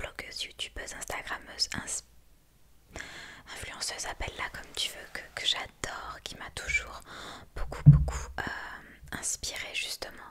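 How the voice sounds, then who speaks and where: Whispering at a fairly slow pace with long, frequent pauses, a woman's voice swings widely in loudness over noticeable background noise. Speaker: ASMR creator. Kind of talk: ASMR whispered story time. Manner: whispered, soft, relaxing.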